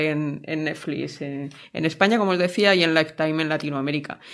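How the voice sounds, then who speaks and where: A woman at a fairly low pitch and fairly quick pace, with ordinary pitch variation and an ordinary speaking voice. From Spain, province of Alicante. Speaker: podcast co-host, author. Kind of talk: casual chat.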